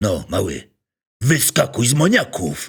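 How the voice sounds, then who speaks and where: Using a raspy, put-on character voice at medium pitch, a man speaks at a moderate pace with very wide pitch swings. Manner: threatening.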